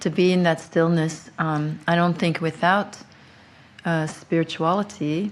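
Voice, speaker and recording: A fairly slow, monotone delivery with flat intonation and very even loudness. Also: woman, fairly low pitch for a woman. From Belgium. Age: 50s. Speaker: abuse survivor and advocate. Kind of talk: interview. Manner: halting.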